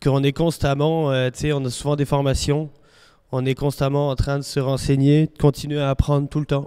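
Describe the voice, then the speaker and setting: Recorded very cleanly against total silence, this man has a dark, mellow tone, a fairly high pitch, a moderate pace and a flat, monotone delivery. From France. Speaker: farm machinery mechanic. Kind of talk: interview.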